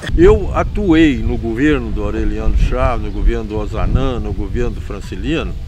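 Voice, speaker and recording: Music plays in the background as a man talks at a moderate pace with hardly any pauses, with audible room echo. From Minas Gerais, Brazil. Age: 80s+. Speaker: retired administrator and former state official. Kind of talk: interview.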